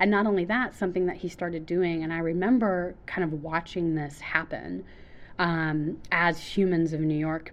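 The woman's pitch is fairly low for a woman, and she has an ordinary speaking voice. Her pace is moderate, with ordinary pitch variation. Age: 30s. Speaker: theater stage manager. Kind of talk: casual chat. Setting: in a theater.

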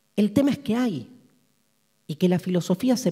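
A man's dark, mellow voice in a Rioplatense accent, at a moderate pace with ordinary pitch variation. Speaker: philosophy lecturer. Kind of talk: lecture.

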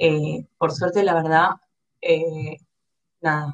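A woman with a fairly deep voice talks very slowly. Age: 20s. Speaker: designer and e-commerce manager. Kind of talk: interview.

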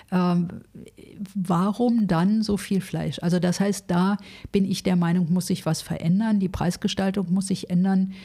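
A woman with a dark, mellow tone sounds somewhat breathy, speaking at a fairly slow pace with monotone, flat intonation. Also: medium pitch for a woman, very even loudness. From Berlin (West Berlin). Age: 60s. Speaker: social worker, charity founder. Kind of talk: interview.

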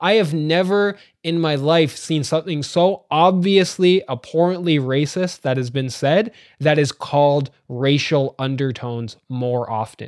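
A man with a Canadian accent uses a normal speaking voice at a fairly high pitch and a fairly slow pace, with ordinary pitch variation. The recording is very clean with a silent background. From Ontario, Canada (Ajax, east of Toronto). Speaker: sociology professor and podcaster. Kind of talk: casual interview.

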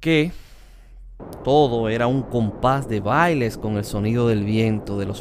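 Music plays in the background, and audible room echo surrounds the voice. A man talks at a fairly low pitch with ordinary pitch variation. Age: 40s. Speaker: podcast host. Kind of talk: personal memoir narration.

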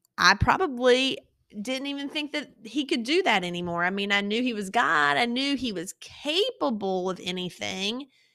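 A woman with a Southern US accent speaks at a moderate pace, her fairly high voice swinging very widely in pitch, on a very clean recording with a silent background. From eastern North Carolina. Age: 40s. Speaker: podcast host, pediatric dentist. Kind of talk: faith testimony monologue. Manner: casual, conversational.

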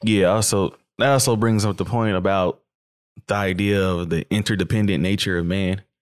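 An ordinary speaking voice at a moderate pace, with fairly even intonation, very even loudness and a very clean recording over a silent background. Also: man, fairly low pitch for a man. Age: 20s. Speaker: podcast host. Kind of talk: casual chat.

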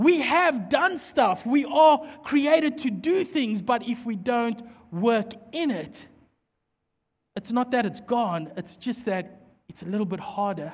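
A man with a South African accent, extremely high-pitched and animated, with very wide pitch swings at a fairly slow pace. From South Africa, Mpumalanga. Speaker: pastor. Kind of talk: sermon.

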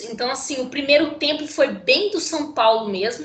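A woman's voice, showing ordinary pitch variation, comes through audible room echo and noticeable background noise. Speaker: sports podcast co-host. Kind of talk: casual chat. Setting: remote recording via computer.

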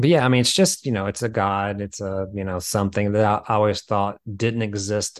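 Against a quiet background, a man with an American accent and a fairly low pitch speaks at a fairly quick pace in a monotone, flat intonation. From US South, small town. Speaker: film writer-director. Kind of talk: casual interview chat.

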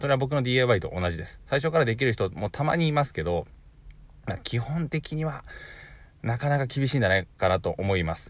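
On a very clean recording with a silent background, a somewhat breathy man at medium pitch talks at a fairly quick pace with very wide pitch swings. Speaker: online business podcaster. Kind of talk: solo podcast talk. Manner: fast; stumbles over words often.

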